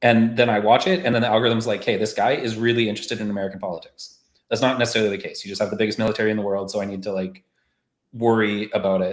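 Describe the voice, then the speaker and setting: Talking at a very fast pace, a man with a Canadian accent keeps his intonation fairly even. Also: medium pitch for a man. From Canada. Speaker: marketing podcast host. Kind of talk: casual discussion on a live stream. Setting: live stream call.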